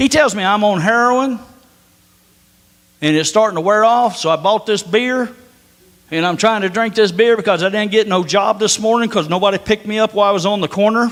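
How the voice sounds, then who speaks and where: An animated, fairly quick man's voice with an Appalachian accent, high in pitch, with ordinary pitch variation. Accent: hillbilly twang. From northern US. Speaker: preacher. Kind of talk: sermon.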